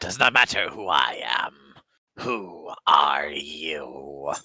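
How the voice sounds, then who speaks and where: A man puts on a raspy character voice with a very deep, low pitch. He goes at a very slow pace, his intonation lively. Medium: actual play. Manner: terse, broken grammar, third-person self reference.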